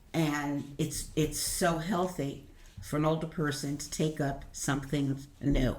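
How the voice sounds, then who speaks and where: Audible room echo surrounds a woman speaking with an American accent. Her very deep, low pitch holds fairly even intonation at a fairly slow pace. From Brooklyn, New York. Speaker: senior learner. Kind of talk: casual chat.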